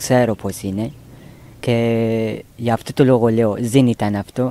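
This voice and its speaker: A very slow, medium-pitched man's voice in a non-native accent, dark and mellow in tone, with a dry, close sound and no echo. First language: not Greek (speaking Greek). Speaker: migrant resident, court interpreter. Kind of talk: personal testimony while walking. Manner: halting.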